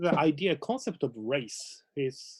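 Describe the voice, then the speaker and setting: With a Japanese accent and lively intonation, a man speaks at a fairly high pitch in a dry, close sound with no echo on a very clean recording with a silent background. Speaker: lecturer. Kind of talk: casual conversation. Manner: halting.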